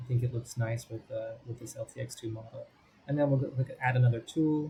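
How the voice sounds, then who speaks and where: A man speaks at a fairly quick pace and a medium pitch in a dark, mellow tone. His delivery is monotone and flat, and somewhat breathy. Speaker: software tutorial presenter. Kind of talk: screen-recorded tutorial. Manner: fast.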